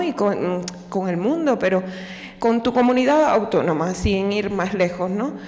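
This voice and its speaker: A woman's medium-pitched voice in a Cuban accent, with audible room echo and noticeable background noise. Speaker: audience member asking a question. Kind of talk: audience question. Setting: lecture hall with audience.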